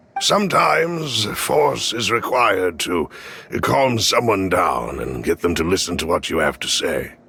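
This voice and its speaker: A man puts on a raspy character voice, talking at a moderate pace. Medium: video game. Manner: formal, courteous.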